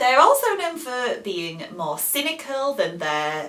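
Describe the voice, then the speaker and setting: The woman talks very slowly while noticeable background noise continues behind her. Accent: British. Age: 30s. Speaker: English teacher. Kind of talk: educational talk to camera.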